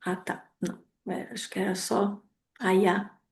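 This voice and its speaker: With a medium pitch, a woman's voice sounds somewhat breathy. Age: 30s. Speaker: lecturer. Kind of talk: lecture.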